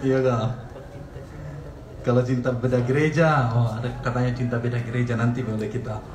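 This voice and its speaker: A man of medium pitch speaks at a fairly quick pace in a monotone, flat way, with long, frequent pauses. Audible room echo and noticeable background noise come through. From Sulawesi, Indonesia. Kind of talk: casual livestream chat.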